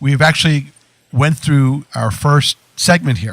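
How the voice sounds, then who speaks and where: Somewhat breathy and fairly high-pitched, a man speaks with ordinary pitch variation in a dry, close sound with no echo. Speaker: radio talk show host. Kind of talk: radio show host talk.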